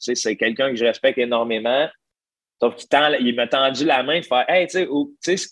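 Speaking at a fairly quick pace, a man with a Quebec accent uses a medium pitch and ordinary pitch variation. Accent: Québécois French. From Quebec, Gentilly (Centre-du-Québec). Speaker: stand-up comedian. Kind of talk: casual interview conversation.

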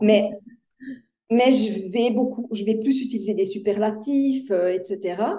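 The voice has a dark, mellow tone and fairly even intonation, moving at a very slow pace with long, frequent pauses amid audible room echo. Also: woman, fairly high pitch for a woman. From Switzerland. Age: 60s. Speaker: life coach. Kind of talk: interview.

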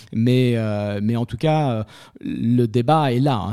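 A man with a medium pitch talks in fairly even intonation on a very clean recording with a silent background. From Paris. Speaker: property manager. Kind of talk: interview. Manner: halting.

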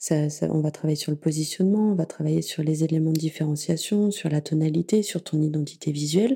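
This woman speaks at a moderate pace in a very deep, low voice, with a dark, mellow tone and ordinary pitch variation. She sounds somewhat breathy, and the recording is very clean with a silent background. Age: 30s. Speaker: podcast app founder and podcast consultant. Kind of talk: casual interview.

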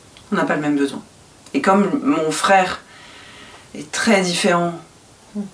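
Ordinary pitch variation and moderate speed from a woman, amid noticeable background noise. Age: 40s. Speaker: podcast guest sharing personal story. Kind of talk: intimate interview.

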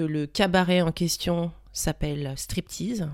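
At a very slow pace, a woman speaks with a fairly low pitch in a very clean recording with a silent background. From Paris. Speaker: dancer. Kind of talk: casual chat.

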